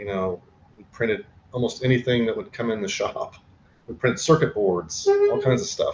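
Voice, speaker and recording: A man with an American accent speaks at a moderate pace, with big swings in loudness. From Oklahoma, US. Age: 60s. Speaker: artist and printmaker, teacher. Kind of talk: audition interview.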